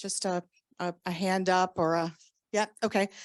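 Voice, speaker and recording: A woman with a Southern US accent speaks in a dry, close sound with no echo, on a very clean recording against a silent background. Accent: Southern US, country. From US South, Southern Louisiana. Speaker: orientation and mobility instructor. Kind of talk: conference lecture. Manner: deliberately slow; hesitant, many fillers.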